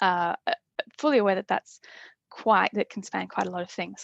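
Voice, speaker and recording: Very fast speech with an Australian accent. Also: woman. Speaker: urban planning specialist. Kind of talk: webinar presentation. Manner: halting, many fillers and repeats.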